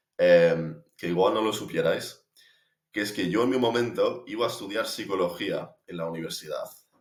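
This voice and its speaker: This man has an English accent. He talks at a moderate pace. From United States. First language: English (speaking Spanish). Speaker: language learner vlogger. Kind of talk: personal reflection monologue. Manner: hesitant, many fillers.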